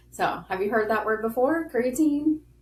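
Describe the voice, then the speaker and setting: A woman speaks with a Southern US accent. Her intonation is lively. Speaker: podcast host. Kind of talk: casual chat.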